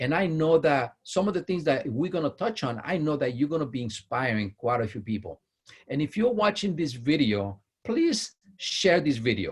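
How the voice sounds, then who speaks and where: The voice is enthusiastic in tone and somewhat breathy. Its pitch swings very widely. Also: man, fairly high pitch for a man, moderate pace. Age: 50s. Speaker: interview host. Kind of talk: interview.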